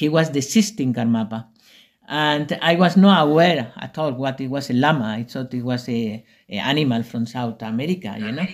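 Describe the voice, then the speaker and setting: With a Spanish accent, a man talks at a medium pitch, his intonation lively. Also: moderate pace, very clean recording, silent background. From Spain, Extremadura/Andalusia. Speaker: retreat center founder. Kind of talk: interview. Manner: halting.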